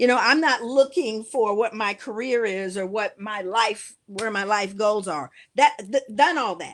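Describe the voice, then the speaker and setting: In an unremarkable speaking voice, the speaker talks with hardly any pauses, ordinary pitch variation and big swings in loudness. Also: woman, fairly high pitch for a woman. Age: 60s. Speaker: educator and speaker. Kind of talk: casual chat.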